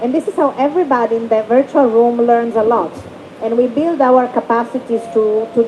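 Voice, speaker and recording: At a fairly quick pace, the voice shows ordinary pitch variation, with noticeable background noise. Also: woman. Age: middle-aged. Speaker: human rights rapporteur writing thematic reports. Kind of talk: panel discussion.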